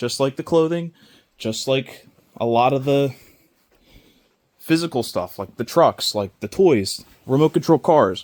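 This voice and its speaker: Using lively intonation at a fairly slow pace, a man speaks with long, frequent pauses. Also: dry, close sound with no echo. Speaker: reseller vlogger. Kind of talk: casual vlog talk. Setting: indoor yard sale at a school. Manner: loud.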